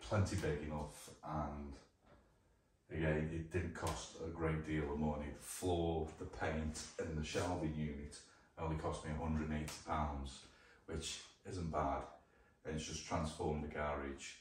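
Over light background noise and audible room echo, a man with a very deep, low pitch talks at a moderate pace in a monotone, flat intonation, leaving long, frequent pauses. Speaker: vlogger. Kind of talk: casual vlog chat. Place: garage. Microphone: camera far.

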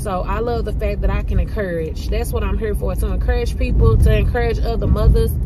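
A woman talks at a fairly quick pace over loud background noise. Her voice sounds dry, with no echo. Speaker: lifestyle vlogger. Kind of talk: casual vlog chat. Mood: grateful, encouraging. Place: car. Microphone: phone near.

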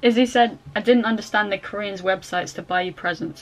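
At a fairly quick pace, a woman speaks with ordinary pitch variation against light background noise. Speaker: student vlogger. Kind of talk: casual vlog chat. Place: home room. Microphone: phone near.

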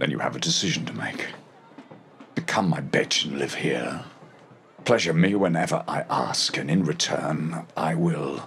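Pitched very deep and low, a man talks at a moderate pace with ordinary pitch variation and long, frequent pauses. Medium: fan dub. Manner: sly, mocking.

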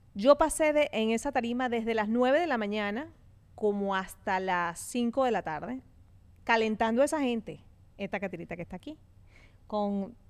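Taking long, frequent pauses, a woman with a fairly high pitch speaks at a moderate pace, her tone animated and her intonation lively. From Venezuela. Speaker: podcast host. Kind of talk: casual chat. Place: studio. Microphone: studio mic.

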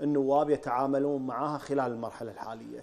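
A man's fairly high voice with a dark, mellow tone at a moderate pace. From Kuwait. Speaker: TV host; TV talk-show host. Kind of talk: live TV interview. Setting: studio. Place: studio.

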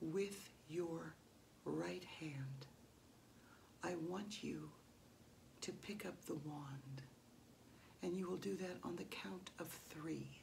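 Over light background noise, a soft-spoken woman with a very deep, low pitch talks very slowly in a gentle tone, with lively intonation and long, frequent pauses. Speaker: ASMR roleplay performer as hypnotist. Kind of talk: staged hypnosis induction roleplay, soothing repeated suggestions to a subject. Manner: slow, lulling repetition of phrases like a metronome; gentle, soft-spoken commanding tone. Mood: slow, commanding, rhythmic. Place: home room. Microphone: phone near.

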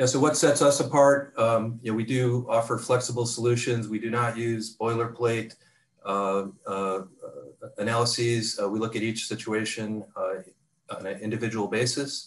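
The speaker keeps a moderate pace and fairly even intonation. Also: man. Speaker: restructuring advisory executive. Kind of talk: webinar presentation. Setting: video conference. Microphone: video call.

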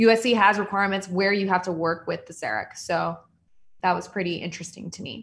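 Speaking fairly quickly in a Californian accent, a woman uses fairly even intonation and vocal fry. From Southern California. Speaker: general dentist. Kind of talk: online presentation. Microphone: video call.

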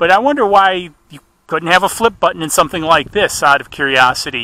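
A man talks at a fairly quick pace with lively intonation. The sound is dry, with no echo. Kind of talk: casual live commentary. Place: open country.

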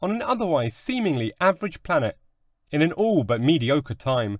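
On a very clean recording with a silent background and a dry, close sound with no echo, a man with a fairly high pitch speaks at a moderate pace in a dramatic tone, his pitch swinging very widely. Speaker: audiobook narrator. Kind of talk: scripted fairy-tale narration, read aloud in a dramatic storyteller's tone. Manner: dramatic, measured storytelling with wry, tongue-in-cheek asides.

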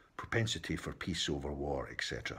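A man's very deep, low voice with vocal fry, at a moderate pace, with a Scottish accent. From Scotland. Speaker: political commentator. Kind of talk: opinion monologue. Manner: impassioned. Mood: frustrated, opinionated. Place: home room. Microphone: phone near.

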